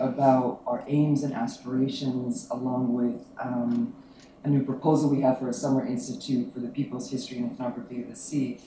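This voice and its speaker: A soft-spoken man talks at a moderate pace in a fairly high voice with ordinary pitch variation. The recording has audible room echo and noticeable background noise. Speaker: academic panel organizer. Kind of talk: academic talk.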